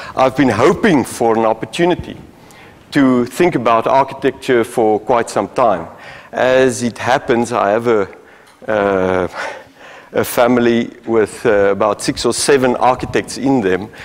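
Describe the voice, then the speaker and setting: A man's fairly slow speech at very even loudness. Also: ordinary pitch variation. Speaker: guest lecturer. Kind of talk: lecture. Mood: polite, grateful opening. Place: hall.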